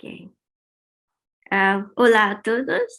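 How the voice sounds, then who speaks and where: In a very clean recording with a silent background, a woman with a non-native accent speaks at fairly high pitch with fairly even intonation. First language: not Spanish (speaking Spanish). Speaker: researcher. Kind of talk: conference talk. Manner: halting in Spanish.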